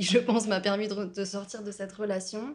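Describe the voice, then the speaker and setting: A woman speaks at a medium pitch with a somewhat breathy voice. Her intonation is monotone and flat. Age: 20s. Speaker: student sharing experience of violence. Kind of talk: personal testimony interview. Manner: hesitant, many fillers.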